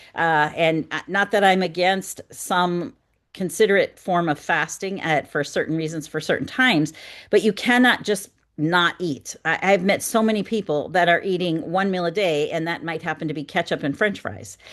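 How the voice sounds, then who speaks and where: A woman with an Upper Midwest accent, moderate pace and ordinary pitch variation, against a quiet background. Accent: Upper Midwest American. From North Dakota, US Midwest. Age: 60s. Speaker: wellness coach. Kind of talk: webinar presentation.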